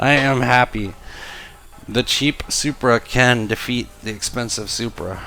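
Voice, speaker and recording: Over noticeable background noise, a man speaks at a fairly slow pace with a medium pitch and fairly even intonation. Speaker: gaming youtuber. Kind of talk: gameplay commentary. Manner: quiet while concentrating.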